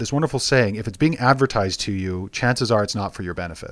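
The recording is very clean with a silent background. A man speaks at a medium pitch with a western Canadian accent. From Alberta, Canada. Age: young. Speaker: guest sharing life wisdom. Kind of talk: casual interview.

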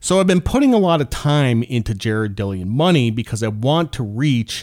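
A man's medium-pitched voice, moving at a moderate pace with very wide pitch swings, comes through a very clean recording with a silent background. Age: 40s. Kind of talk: casual solo monologue.

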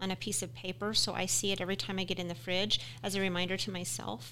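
Speaking at a fairly quick pace, a woman with an American accent and medium pitch has a bright, sharp tone with vocal fry. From Utah. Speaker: podcast co-host. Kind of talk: casual podcast chat. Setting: studio.

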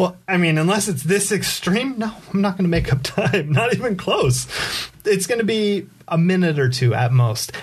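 Speaking high for a man with an American accent, a man uses lively intonation and very even loudness against noticeable background noise. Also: moderate pace. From Southern California, San Diego area. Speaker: community activist. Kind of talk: casual interview. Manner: halting, many fillers.

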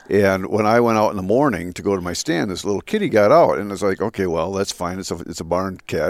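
In a very clean recording with a silent background, a man speaks with an Upper Midwest accent. His pitch is fairly low and his pace very fast. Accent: Upper Midwest (Minnesota). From Minnesota, Twin Cities. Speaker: state natural resources commissioner. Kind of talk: interview. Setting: lodge at a live event.

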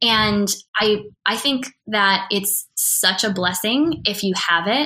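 Bright and sharp in tone, a woman speaks at a medium pitch with an American accent. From US Upper Midwest, Wisconsin. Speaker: entrepreneur and speaker who runs women's events. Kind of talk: casual interview conversation.

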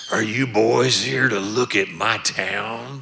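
Using a raspy put-on character voice at medium pitch, a man speaks at a fairly slow pace. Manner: confrontational.

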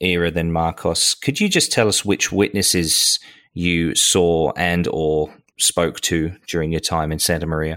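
The man's voice is very deep and low in pitch. He speaks at a fairly slow pace. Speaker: podcast co-host. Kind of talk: interview.

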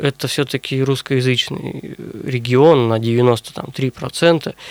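A man of medium pitch, recorded dry and close with no echo. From Russia, Sverdlovsk region (Urals). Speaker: historian and university lecturer. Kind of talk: radio interview. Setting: studio.

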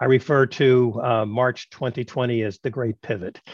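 A man speaks at a medium pitch with a New York accent. His intonation stays fairly even. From Brooklyn, New York. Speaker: podcast host, tech executive and professor. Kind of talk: interview.

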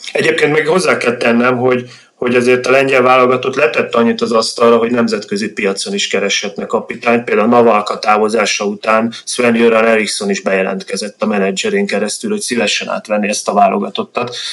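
A man talks at a very fast pace with lively intonation. Noticeable background noise runs underneath. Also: medium pitch for a man. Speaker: Poland researcher. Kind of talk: interview answers about football.

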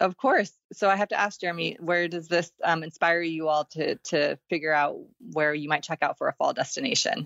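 Using an American accent, a woman has an unremarkable speaking voice, fairly low in pitch with ordinary pitch variation, at a fairly quick pace. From Texas. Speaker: campground booking company representative. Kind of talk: casual interview.

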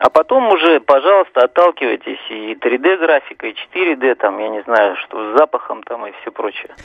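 A man's medium-pitched voice at a moderate pace, with lively intonation and big swings in loudness. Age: 50s. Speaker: radio caller. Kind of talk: opinion on a radio call-in. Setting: phone call. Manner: halting, many fillers.

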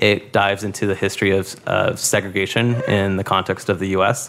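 A man with an American accent speaks at a moderate pace and a fairly low pitch. His intonation is monotone and flat over noticeable background noise. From Boyle Heights, Los Angeles. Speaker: former teacher and policy graduate student. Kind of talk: interview conversation.

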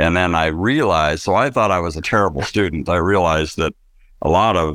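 A man with an American accent speaks fairly quickly at a very deep, low pitch, with vocal fry and ordinary pitch variation. The recording is very clean, and the background is silent. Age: 50s. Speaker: business owner, manufacturing company president. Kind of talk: interview testimony.

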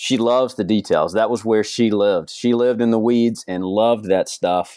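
A man speaks with an American accent. His voice is medium in pitch with ordinary variation. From Georgia, US South. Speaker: youth pastor and author. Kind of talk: interview. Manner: halting.

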